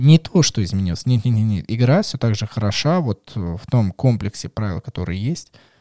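Over a silent background in a very clean recording, a man with a dark, mellow tone and medium pitch talks at a moderate pace with lively intonation and hardly any pauses, the sound dry and close with no echo. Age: 20s. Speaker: board game podcast host. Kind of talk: casual chat. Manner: animated.

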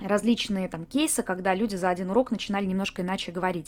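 Her tone is animated. The woman speaks at a medium pitch with ordinary pitch variation. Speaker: voice coach and podcaster. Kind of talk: educational monologue, podcast lecture. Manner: animated, lively.

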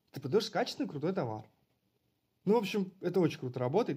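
With a dark, mellow tone, the man's delivery moves with lively intonation. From Russia, Bryansk region (Karachev). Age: 30s. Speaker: entrepreneur, online marketplace seller and course founder. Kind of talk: interview. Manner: halting, with many fillers.

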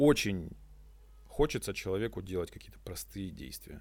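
At a moderate pace, a man talks with lively intonation and vocal fry. The recording is very clean with a silent background. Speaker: eco-activist and entrepreneur. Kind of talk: casual interview chat. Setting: eco-loft venue. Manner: energetic.

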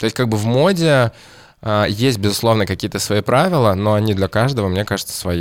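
At a fairly quick pace, a man with a fairly low pitch and ordinary pitch variation speaks on a very clean recording with a silent background. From Kamchatka, Russian Far East. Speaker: stylist. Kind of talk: casual chat.

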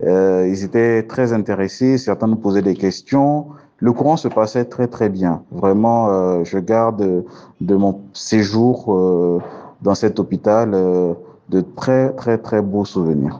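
Very slow and very even in loudness, a man's dark, mellow voice moves with ordinary pitch variation. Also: fairly low pitch for a man. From Côte d'Ivoire. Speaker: cardiovascular surgeon. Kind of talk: interview.

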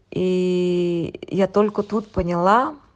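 A woman's voice, fairly low in pitch. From Yakutia, Russia (rural village). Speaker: expat interviewee, former tax inspector. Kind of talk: remote interview. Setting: remote call from home.

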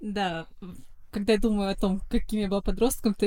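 At a moderate pace, a woman talks at a medium pitch with a dark, mellow tone. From St Petersburg, Russia. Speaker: pop singer. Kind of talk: interview chat.

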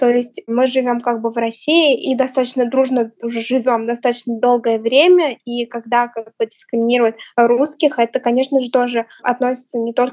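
At a moderate pace, a woman speaks in a high pitch with monotone, flat intonation, the sound dry and close with no echo. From Tatarstan, Russia (village). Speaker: interviewee. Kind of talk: interview testimony.

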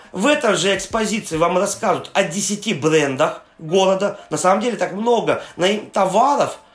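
Amid noticeable background noise, a man speaks at a moderate pace in a high voice with ordinary pitch variation. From Yaroslavl region, Russia. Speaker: tour guide. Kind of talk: interview. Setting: remote call.

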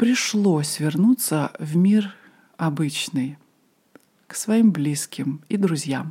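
Somewhat breathy and dark and mellow in tone, a fairly low-pitched woman's voice moves at a very slow pace with lively intonation. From Moscow, Russia. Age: 40s. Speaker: podcast host, ayurveda and yoga teacher. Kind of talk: personal storytelling monologue.

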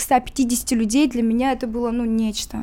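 Noticeable background noise sits behind this recording. A woman with a high pitch talks at a moderate pace. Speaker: musician. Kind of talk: interview.

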